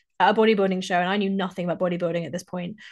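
A woman speaks in an English accent. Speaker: fitness coach and podcast host. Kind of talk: solo podcast monologue.

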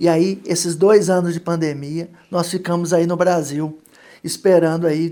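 In a Minas Gerais accent, a man speaks at a fairly slow pace with a high pitch and a dark, mellow tone. His intonation is monotone and flat. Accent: Minas Gerais (mineiro) accent, still present. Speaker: photographer. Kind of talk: radio interview.

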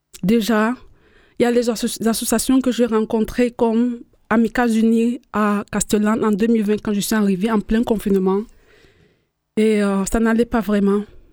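A woman's dark, mellow voice, monotone and flat, at a fairly slow pace with long, frequent pauses. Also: fairly high pitch for a woman, very even loudness. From Cameroon. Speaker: migrant, community participant. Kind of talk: radio panel discussion.

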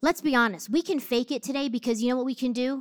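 In an American accent, a woman talks very fast with a high pitch and an animated tone, on a very clean recording with a silent background and a dry, close sound with no echo. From New Jersey. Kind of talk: sermon.

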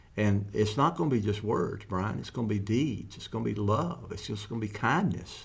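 With hardly any pauses, a man talks in a fairly low voice that carries vocal fry and ordinary pitch variation. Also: moderate pace. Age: 70s. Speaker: ministry founder. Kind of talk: casual conversational podcast.

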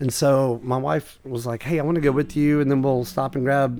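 At a moderate pace, a man with an American accent speaks in an unremarkable speaking voice at medium pitch with fairly even intonation. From US South, East Tennessee. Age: 40s. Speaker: comedian and rare book collector. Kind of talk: casual chat.

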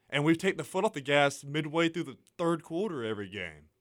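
This is a man. His pitch sits fairly high. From Atlanta, Georgia. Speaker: student sports fan guest. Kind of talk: casual sports talk radio. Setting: radio studio.

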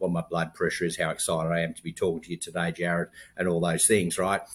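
Speaking very fast, a man uses a very deep, low voice with an American accent. The recording is very clean, with a silent background. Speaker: health tech company founder. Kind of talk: interview.

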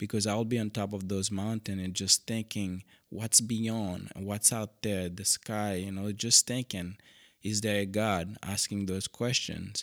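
The speaker uses a Haitian accent and monotone, flat intonation at a fairly slow pace. The very clean recording has a silent background and a dry, close sound with no echo. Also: man, fairly low pitch for a man. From Haiti, Cap-Haïtien. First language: Haitian Creole. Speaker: missionary pastor. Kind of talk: interview.

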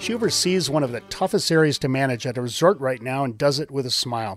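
A man with an American accent, an unremarkable speaking voice, lively intonation and a fairly quick pace. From US Midwest. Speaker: podcast host. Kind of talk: interview, conversational. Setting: on location at ski resort lodge.

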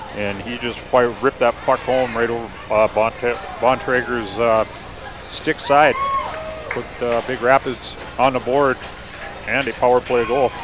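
A man's medium-pitched, relaxed voice, fairly slow and monotone with flat intonation, long, frequent pauses, and noticeable background noise. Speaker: color commentator. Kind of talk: live commentary. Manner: relaxed, hesitant with filler words.

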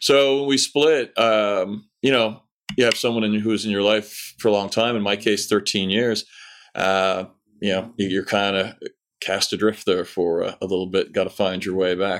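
In a very clean recording with a silent background, a man with a plain, everyday voice speaks at a moderate pace, fairly low in pitch, with fairly even intonation. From Canada, Newfoundland. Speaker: novelist. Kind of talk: casual interview; book description.

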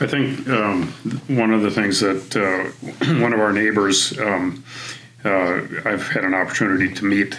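A man with an American accent, fairly low in pitch, at a fairly slow pace with fairly even intonation, over noticeable background noise. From US Midwest. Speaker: church member, former Marine, hosts neighborhood event. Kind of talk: casual chat. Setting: studio.

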